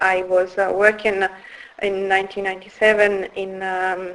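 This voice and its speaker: A woman speaks with an Italian accent at a medium pitch. Her pace is fairly slow. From northern Italy, Turin. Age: 50s. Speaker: founder of a women's wellbeing business. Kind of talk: interview. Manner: hesitant, many fillers.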